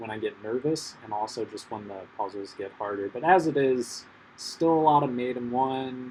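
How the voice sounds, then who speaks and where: A man with medium pitch and ordinary pitch variation speaks in a normal speaking voice. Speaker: chess content creator. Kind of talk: live gameplay commentary. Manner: casual, filler-heavy with many ums.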